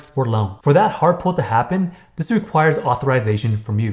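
This man talks at a fairly quick pace with lively intonation. His voice is somewhat breathy. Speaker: credit education youtuber. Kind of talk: tutorial. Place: home room.

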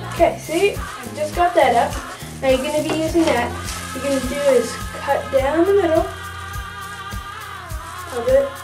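The speech moves at a fairly slow pace. Music plays clearly in the background. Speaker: home experiment demonstrator. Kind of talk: tutorial. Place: bathroom. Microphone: camera far.

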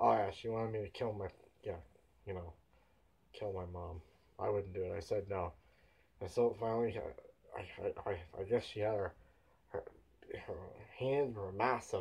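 With long, frequent pauses, a man speaks at a moderate pace in a fairly low, somewhat breathy voice with fairly even intonation. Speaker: home vlogger. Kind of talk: casual vlog chat. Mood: telling a spooky story. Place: home room. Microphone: camera far.

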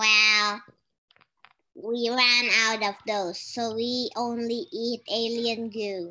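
A female-sounding put-on character voice, fairly high in pitch, moves at a very slow pace. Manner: playful.

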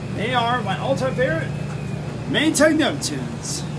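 Loud background noise fills the clip as a man talks. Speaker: laundromat vlogger. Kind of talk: casual vlog chat. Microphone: phone near.

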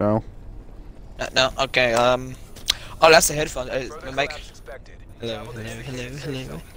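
A man talks at a moderate pace with big swings in loudness and long, frequent pauses. The sound is dry with no echo, with light background noise. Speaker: video game player. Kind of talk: casual gaming banter. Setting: online voice chat. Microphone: headset.

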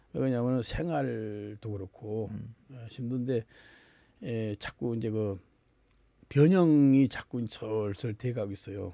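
A man speaks at a very slow pace in a dark, mellow tone, with ordinary pitch variation and long, frequent pauses. The sound is dry, with no echo. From Gangwon Province, South Korea. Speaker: folk singer and teacher; teacher. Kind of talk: interview. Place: studio. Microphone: studio mic.

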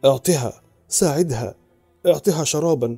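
A man does a put-on character voice, hoarse and fairly high in pitch, with ordinary pitch variation. He goes at a fairly slow pace, with faint music in the background. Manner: desperate shouting.

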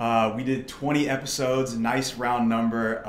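In a room with audible echo and light background noise, a man with an American accent speaks in an upbeat tone. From US Midwest, St. Louis area. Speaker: podcast host. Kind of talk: casual interview. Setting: studio, in person. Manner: upbeat, filler-heavy. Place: studio.

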